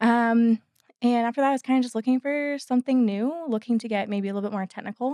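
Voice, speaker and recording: Speaking at a very fast pace, a woman with a Canadian accent has a fairly high pitch, a dark, mellow tone and fairly even intonation, captured dry and close with no echo. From Canada, Toronto. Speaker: engineering consultant. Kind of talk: casual interview chat.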